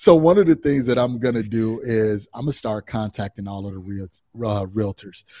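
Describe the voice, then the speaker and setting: In an American accent, a man with a medium pitch and a dark, mellow tone shows big swings in loudness, recorded in a dry, close sound with no echo. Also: ordinary pitch variation, moderate pace. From Chicago area, Illinois. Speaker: real estate investor and coach. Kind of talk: interview.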